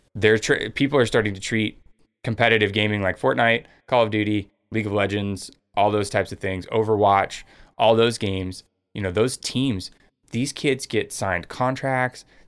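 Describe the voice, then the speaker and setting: A man uses a plain, everyday voice at a fairly low pitch and moderate pace. His intonation stays fairly even on a very clean recording with a silent background. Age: 30s. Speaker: podcast host. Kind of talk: casual chat.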